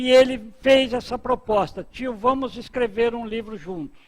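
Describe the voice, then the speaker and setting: A man with a high pitch talks at a very slow pace in a very clean recording with a silent background. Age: 60s. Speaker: spiritist author. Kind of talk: talk at book launch. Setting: book launch event with audience.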